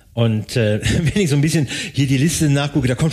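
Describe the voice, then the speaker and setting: Against noticeable background noise, a man talks at a very fast pace with a fairly high pitch and ordinary pitch variation. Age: old. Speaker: podcast co-host, tax/IT audit consultant. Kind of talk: casual chat.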